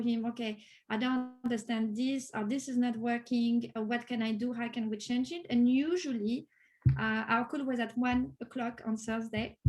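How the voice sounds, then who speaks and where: A woman speaks in a high pitch with a French accent. Her pace is moderate and her intonation fairly even. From France. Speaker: Salesforce developer, course graduate. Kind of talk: interview. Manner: hesitant, many fillers.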